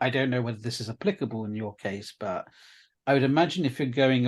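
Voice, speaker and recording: At a very fast pace, a man with a British accent talks at a medium pitch with ordinary pitch variation over a quiet background. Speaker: video producer and interviewer. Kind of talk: interview conversation. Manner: hesitant.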